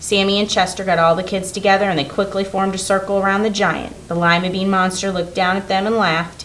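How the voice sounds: The clip features a natural reading voice.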